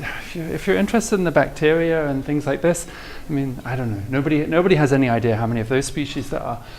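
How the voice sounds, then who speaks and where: Talking very fast with lively intonation, a man with a fairly high voice is heard in audible room echo and noticeable background noise. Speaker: mathematics professor. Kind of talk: lecture. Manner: halting, many repetitions; tapers down in volume when excited.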